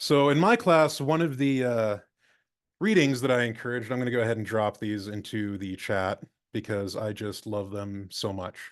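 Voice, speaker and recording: A man at medium pitch, in a normal speaking voice, with ordinary pitch variation and a moderate pace. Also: quiet background. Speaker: librarian, former physics teacher. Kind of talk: conference presentation. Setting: video call.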